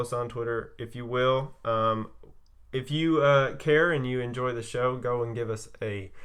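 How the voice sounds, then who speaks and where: The delivery is monotone with flat intonation, at a fairly slow pace. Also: man. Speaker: podcast host. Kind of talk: casual chat. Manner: halting; stutter.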